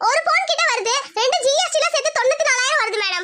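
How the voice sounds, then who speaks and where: In a squeaky, cartoonish character voice, a woman speaks at a fairly quick pace with extremely high pitch and very wide pitch swings. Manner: courteous, salesy.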